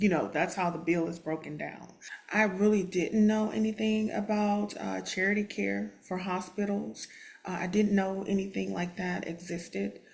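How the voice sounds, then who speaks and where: Her intonation fairly even, a woman talks in a Texan accent over noticeable background noise. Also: medium pitch for a woman, moderate pace. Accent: Texan American English. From Texas, Houston. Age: 50s. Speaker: special education teacher. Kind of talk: testimony. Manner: hesitant, many fillers.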